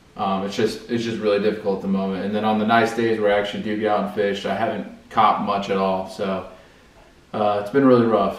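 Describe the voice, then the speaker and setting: Fairly even intonation carries a very fast pace through audible room echo. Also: man, fairly low pitch for a man. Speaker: fishing channel host. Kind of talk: casual vlog chat. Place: home room. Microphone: camera far.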